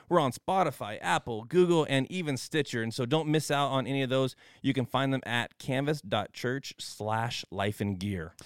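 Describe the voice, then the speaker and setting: A man talks in an ordinary speaking voice at medium pitch, moving at a moderate pace with hardly any pauses and lively intonation. The sound is dry and close with no echo, on a very clean recording with a silent background. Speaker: podcast host. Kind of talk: casual chat.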